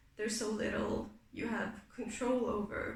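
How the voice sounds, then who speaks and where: A woman at a fairly slow pace, with a non-native accent and monotone, flat intonation, amid noticeable background noise and audible room echo. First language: not English. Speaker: booktuber, reading vlogger. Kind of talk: casual vlog book talk. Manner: casual with frequent fillers.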